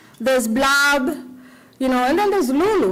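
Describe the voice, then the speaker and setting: High-pitched woman with lively intonation and audible room echo. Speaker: cookbook author and self-publisher. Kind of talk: conference talk. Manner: animated.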